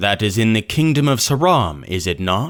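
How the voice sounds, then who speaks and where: A put-on character voice at a moderate pace, with very wide pitch swings. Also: man. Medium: read story. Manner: measured, formal, questioning.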